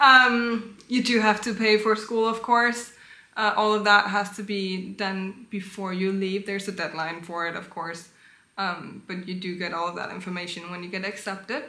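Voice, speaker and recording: A woman's loudness swings widely while her intonation stays fairly even, with room echo audible. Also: medium pitch for a woman, moderate pace. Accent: Danish. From Denmark. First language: Danish. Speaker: vlogger. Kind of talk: casual advice talk.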